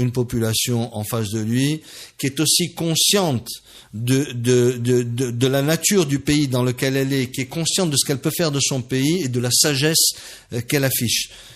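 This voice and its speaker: A man with a medium pitch, ordinary pitch variation, and a moderate pace. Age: 60s. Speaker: business leader. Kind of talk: radio interview. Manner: halting.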